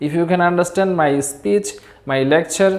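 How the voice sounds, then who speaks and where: With audible room echo, a woman with a Bangladeshi accent speaks at a moderate pace in a very deep, low pitch with ordinary pitch variation. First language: Bengali. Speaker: English teacher. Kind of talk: lecture. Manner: careful pronunciation.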